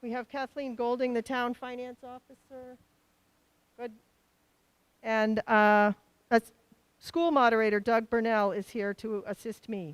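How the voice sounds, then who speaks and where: A woman with an American accent speaks very slowly at a fairly high pitch with ordinary pitch variation, on a very clean recording with a silent background. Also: dry, close sound with no echo. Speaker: town meeting moderator. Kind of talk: public meeting chairing. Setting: school auditorium with PA.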